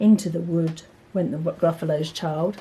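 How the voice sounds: Low in pitch, a woman's voice carries a dark, mellow tone and fairly even intonation. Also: fairly slow pace.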